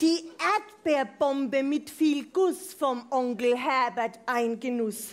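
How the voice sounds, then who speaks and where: This woman speaks in a high pitch with lively intonation. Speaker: speaker. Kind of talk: comic rhymed carnival speech. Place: hall. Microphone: headset.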